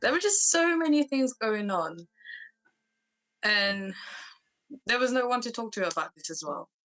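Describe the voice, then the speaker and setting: A woman talks at a moderate pace, her high pitch making very wide swings, with long, frequent pauses. Music plays in the background, and the sound is dry and close with no echo. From Mauritius, moved to UK at 9-10. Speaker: interviewee sharing personal trauma. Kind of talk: personal testimony interview. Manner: halting, many fillers.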